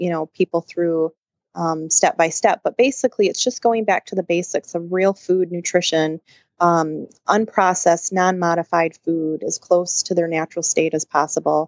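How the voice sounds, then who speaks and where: Speaking at a moderate pace with an American accent, a woman uses fairly even intonation and a fairly low pitch. She has a plain, everyday voice. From Michigan, near Grand Rapids. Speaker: naturopath and nutrition consultant. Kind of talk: interview.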